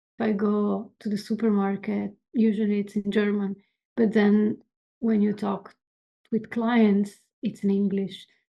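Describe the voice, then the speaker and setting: A woman talks fairly slowly in a flat monotone with a dark, mellow tone, pausing long and often. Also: medium pitch for a woman. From Italy. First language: Italian. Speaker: animator and illustrator. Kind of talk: casual chat. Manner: halting.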